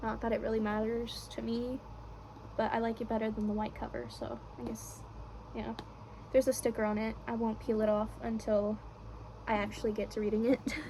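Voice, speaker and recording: A soft-spoken woman talks at a fairly quick pace. Her speech has long, frequent pauses. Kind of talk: casual talk to camera.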